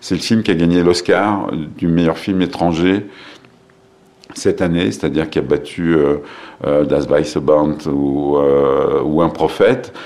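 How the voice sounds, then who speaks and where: A man's very deep, low voice moves at a very slow pace with ordinary pitch variation and very even loudness. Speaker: film festival director. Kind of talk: interview. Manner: hesitant, many filler sounds and repetitions.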